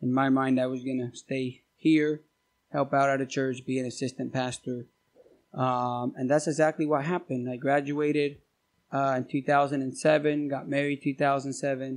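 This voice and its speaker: Fairly slow, monotone, flat speech in an American accent against a quiet background. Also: man, fairly high pitch for a man. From Argentina. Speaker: missionary.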